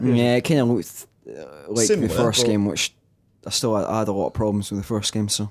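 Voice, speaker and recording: With a Scottish accent, a man talks at a fairly quick pace in a fairly low pitch, using ordinary pitch variation. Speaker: podcast co-host.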